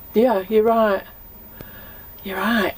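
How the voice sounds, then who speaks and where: A woman speaks at a fairly high pitch. There is noticeable background noise behind her. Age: 60s. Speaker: narrowboat dweller. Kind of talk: casual chat.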